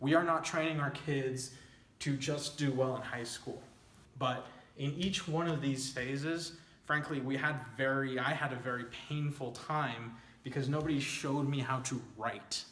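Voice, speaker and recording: With audible room echo and noticeable background noise, a man talks at a moderate pace in a fairly high pitch with fairly even intonation. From El Paso-Juarez border, Texas/Mexico. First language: Spanish. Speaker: nonprofit founder and executive director. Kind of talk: informal presentation over slides. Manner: conversational with frequent fillers.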